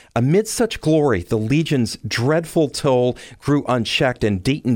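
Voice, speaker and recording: With a Michigan accent, a man talks at a fairly slow pace in a medium pitch, his intonation lively, on a very clean recording with a silent background. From Detroit. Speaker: podcast host. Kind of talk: scripted narration.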